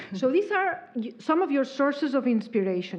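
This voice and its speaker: A woman talks at a moderate pace in a Spanish accent. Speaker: interviewer, event moderator. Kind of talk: interview.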